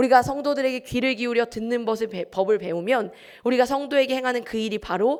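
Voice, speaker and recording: A high-pitched woman's voice. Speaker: pastor. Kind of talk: sermon. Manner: fast.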